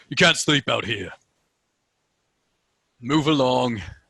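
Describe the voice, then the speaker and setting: A man uses a put-on character voice that is gruff and raspy, at a medium pitch. He speaks fairly slowly, with lively intonation. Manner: curt, commanding.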